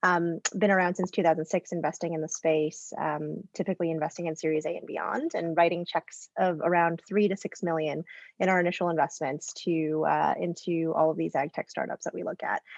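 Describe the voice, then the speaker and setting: In a slight Canadian accent, a woman speaks at a fairly quick pace with hardly any pauses, a fairly low pitch and monotone, flat intonation, in a dry, close sound with no echo. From Canada. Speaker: venture capital investor, plant biologist. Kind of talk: panel discussion.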